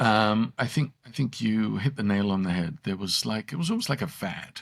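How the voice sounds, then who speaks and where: Speaking at a moderate pace, a man uses lively intonation and a fairly low pitch. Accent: English. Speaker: salon owner coach. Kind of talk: casual chat.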